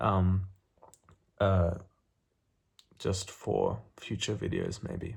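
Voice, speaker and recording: A somewhat breathy, mumbling voice moves at a very slow pace with a flat, monotone delivery and long, frequent pauses. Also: man, fairly low pitch for a man. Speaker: booktuber. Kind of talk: casual vlog talk. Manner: halting, many fillers.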